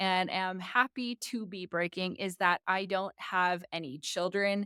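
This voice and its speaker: Speaking with an American accent, a woman talks at a fairly slow pace and medium pitch. The sound is dry and close with no echo, on a very clean recording with a silent background. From United States. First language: Tagalog. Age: 40s. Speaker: vlogger. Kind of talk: personal vlog talk. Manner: casual, conversational.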